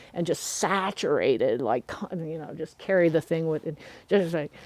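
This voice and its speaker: A woman with an American accent and an ordinary speaking voice talks at a fairly low pitch with fairly even intonation. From US Midwest (southern Missouri, Ozarks). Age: 60s. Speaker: herbalist teacher. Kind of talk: casual chat.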